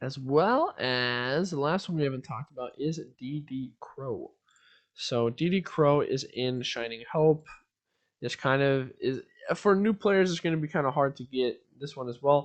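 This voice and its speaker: The pace of this man's unremarkable speaking voice is fairly slow. His pitch is fairly high. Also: ordinary pitch variation. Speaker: gaming content creator. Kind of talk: tutorial. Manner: casual, filler-heavy.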